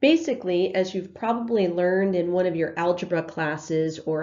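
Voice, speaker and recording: A woman is speaking. There is audible room echo. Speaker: math teacher. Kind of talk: lecture. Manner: hesitant, many fillers.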